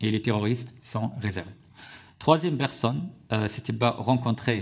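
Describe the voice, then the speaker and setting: A man with an Arabic accent speaks at a fairly slow pace. Vocal fry runs through his voice. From Syria. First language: Arabic (speaking French). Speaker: journalist and author. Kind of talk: parliamentary committee testimony. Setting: parliamentary hearing room. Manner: halting, many hesitations.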